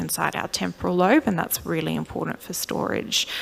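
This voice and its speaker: A woman with an Australian accent, over noticeable background noise. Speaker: clinical neuropsychologist. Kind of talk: lecture.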